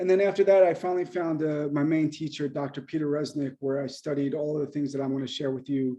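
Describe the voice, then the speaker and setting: The speaker talks at a very fast pace with hardly any pauses, a dark, mellow tone and fairly even intonation over a quiet background. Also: man, fairly high pitch for a man. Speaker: acupuncturist and mind-body teacher. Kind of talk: lecture. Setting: video call.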